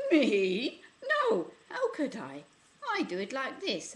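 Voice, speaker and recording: A female-sounding voice puts on a character voice at a high pitch. She speaks at a fairly slow pace. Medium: read story.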